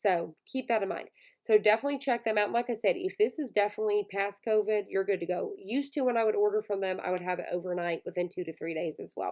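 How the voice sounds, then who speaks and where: Against a quiet background, the speaker talks at a very fast pace in a Southern US accent. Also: woman, medium pitch for a woman, ordinary pitch variation, hardly any pauses. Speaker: online shop owner, YouTuber. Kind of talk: casual tutorial.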